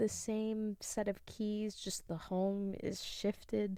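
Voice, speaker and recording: A soft-spoken woman talks at a very slow pace. Her medium-pitched voice has a dark, mellow tone. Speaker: podcast host; music graduate. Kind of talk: soft-spoken thesis reading.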